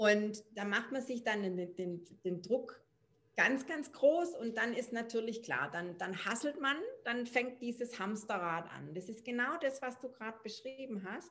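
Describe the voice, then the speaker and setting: Speaking at a fairly slow pace, a woman uses an ordinary speaking voice with a fairly high pitch and lively intonation. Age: 40s. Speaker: parenting coach. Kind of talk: casual interview.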